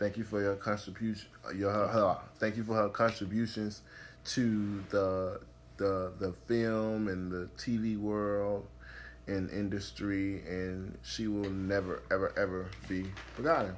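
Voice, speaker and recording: A man with a plain, everyday voice speaks at a fairly slow pace and a fairly low pitch. His intonation is fairly even. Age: 20s. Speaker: podcast host. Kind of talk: casual chat.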